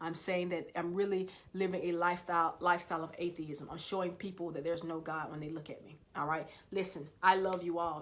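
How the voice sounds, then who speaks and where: A woman speaks at a very fast pace with a fairly low pitch. Her intonation is monotone and flat, and audible room echo surrounds her. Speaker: motivational speaker. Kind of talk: motivational livestream talk. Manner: passionate.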